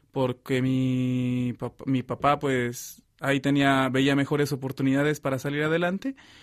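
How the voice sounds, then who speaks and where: Over a very clean recording with a silent background, a man speaks at a very slow pace. His pitch is medium and his intonation monotone and flat. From Mexico. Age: 20s. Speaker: seminarian. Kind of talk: testimony. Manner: halting.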